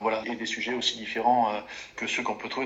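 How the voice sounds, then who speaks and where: Behind this man's medium-pitched voice there is noticeable background noise. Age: 40s. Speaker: forestry and sawmill company executive. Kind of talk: interview. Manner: hesitant, with fillers and repetitions.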